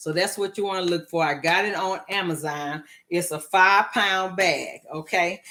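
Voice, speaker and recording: Speaking at a fairly slow pace, a woman sounds animated. Her tone is bright and sharp, and her pitch fairly low. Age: 60s. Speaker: home cooking show host. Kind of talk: cooking tutorial. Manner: casual.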